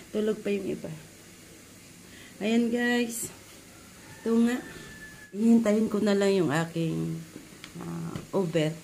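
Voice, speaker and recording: Noticeable background noise and audible room echo surround a woman speaking very slowly. She uses ordinary pitch variation and takes long, frequent pauses. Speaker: vlogger. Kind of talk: casual vlog.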